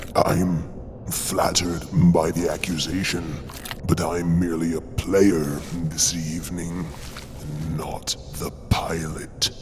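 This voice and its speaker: A man's put-on character voice, very deep and low, at a fairly slow pace over loud background noise. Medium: audio drama. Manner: sultry, unhurried, purring.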